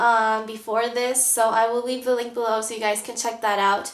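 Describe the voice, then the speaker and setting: Audible room echo around a woman with a fairly high pitch, at a moderate pace. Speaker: planner vlogger. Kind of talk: tutorial. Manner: hesitant, many fillers.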